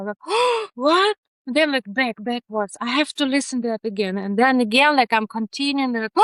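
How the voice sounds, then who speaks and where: Her pitch high and her intonation lively, a woman with a Ukrainian accent speaks at a moderate pace. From Ukraine. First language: not English. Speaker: neurodiversity researcher. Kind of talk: podcast interview. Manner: animated; halting.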